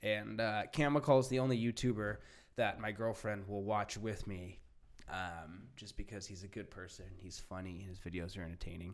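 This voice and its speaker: Speaking with an American accent, a man with a plain, everyday voice has fairly low pitch, ordinary pitch variation, a moderate pace and big swings in loudness. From Orange County, California. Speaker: podcast host. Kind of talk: casual chat.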